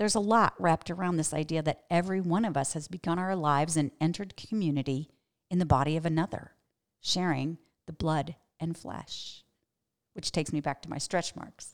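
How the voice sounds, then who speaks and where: At a fairly quick pace, a woman with a fairly low pitch and an ordinary speaking voice keeps her intonation fairly even on a very clean recording with a silent background. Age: 50s. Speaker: pastor and podcast host. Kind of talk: teaching monologue.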